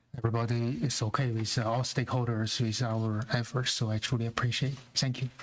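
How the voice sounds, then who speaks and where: Here a man speaks with a non-native accent. He moves at a fairly quick pace. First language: not English. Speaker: school board member. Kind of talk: public meeting remarks. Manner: halting.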